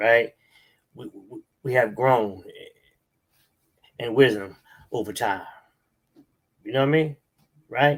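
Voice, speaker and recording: The voice belongs to a man with a medium pitch. His pitch varies in an ordinary way. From New York City (Harlem/Manhattan). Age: 60s. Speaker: religious movement elder. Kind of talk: interview. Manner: halting, repetitive fillers.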